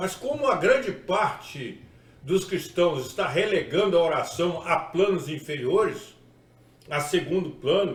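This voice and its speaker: A man's high voice at a fairly slow pace, with audible room echo and noticeable background noise. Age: 60s. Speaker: pastor. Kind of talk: sermon-style video talk.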